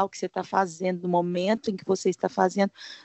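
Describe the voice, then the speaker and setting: A woman talks at a medium pitch. Her intonation stays monotone and flat. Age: 40s. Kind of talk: casual chat. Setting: video call.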